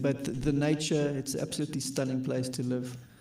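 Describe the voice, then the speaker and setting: A man's dark, mellow voice at medium pitch stays monotone and flat, with audible room echo. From South Africa, Johannesburg. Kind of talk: casual chat. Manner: halting.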